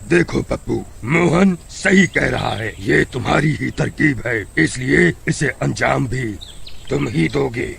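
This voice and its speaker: A man does a cartoonish character voice at a fairly slow pace. Background noise is clearly audible. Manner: measured, authoritative.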